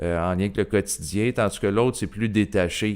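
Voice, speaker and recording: A man speaks in a Quebec accent at a fairly low pitch. Vocal fry runs through his voice. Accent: Québécois French. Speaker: YouTuber, personal development channel. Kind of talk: casual monologue to camera. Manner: hesitant, many fillers.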